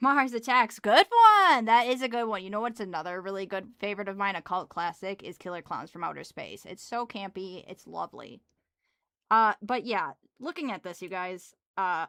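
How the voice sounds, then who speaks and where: In a strong Wisconsin accent, a woman speaks at a moderate pace and medium pitch with ordinary pitch variation, her tone bright, sharp and relaxed, her loudness swinging widely, captured in a very clean, dry, close recording with no echo and a silent background. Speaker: livestreamer. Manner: casual, relaxed, chatty.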